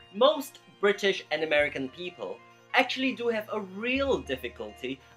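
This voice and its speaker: Music plays in the background as the speech moves along at a moderate pace. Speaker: English pronunciation vlogger. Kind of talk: educational vlog talk to camera.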